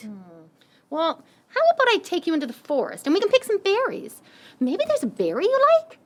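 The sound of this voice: A put-on character voice at a fairly quick pace, with very wide pitch swings and long, frequent pauses. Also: woman, extremely high pitch for a woman.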